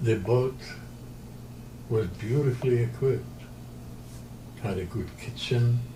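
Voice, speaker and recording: A man's medium-pitched voice, fairly even in intonation, with long, frequent pauses and audible room echo. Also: fairly slow pace. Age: 90s. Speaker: interviewee, retired pilot and sailor. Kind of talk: interview. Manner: halting.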